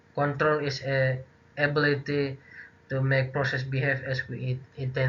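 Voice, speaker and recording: The voice belongs to a man with a medium pitch. His intonation is monotone and flat. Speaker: university student. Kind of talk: class presentation. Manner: halting.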